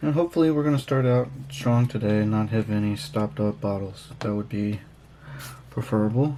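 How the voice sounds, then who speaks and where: A man speaks at a fairly quick pace in a dark, mellow tone. His intonation is lively. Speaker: miniature painting hobby youtuber. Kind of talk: casual tutorial. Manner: mumbling; hesitant, many fillers.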